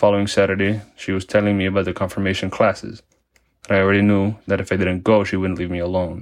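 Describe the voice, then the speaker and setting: In a Spanish accent, a man speaks at a very fast pace with monotone, flat intonation. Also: quiet background. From Mexico, Tijuana. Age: 20s. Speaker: parishioner. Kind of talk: testimony.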